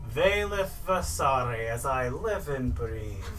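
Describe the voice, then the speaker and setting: Using a put-on character voice, a man speaks at a medium pitch and a fairly slow pace. Clear background noise runs under him. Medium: actual play. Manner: stern, condescending.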